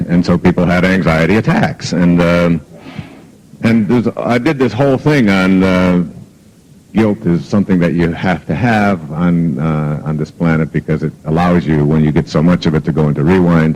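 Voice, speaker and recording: Over noticeable background noise, a man speaks with a very deep, low pitch at very even loudness. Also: ordinary pitch variation, moderate pace. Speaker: self-help author and motivational speaker. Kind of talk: motivational talk. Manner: conversational, hesitant with fillers; gentle but firm, humorous.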